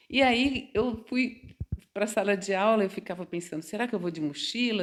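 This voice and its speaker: A woman talks at a moderate speed, her medium-pitched voice showing ordinary pitch variation. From Brazil, São Paulo state interior (Quintana). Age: 60s. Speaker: mature psychology student. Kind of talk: interview, personal storytelling. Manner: conversational, hesitant repetitions.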